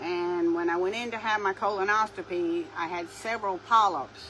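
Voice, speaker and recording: A woman with a Southern US accent, at a moderate pace and with ordinary pitch variation. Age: 60s. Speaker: craft video creator. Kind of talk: casual chat.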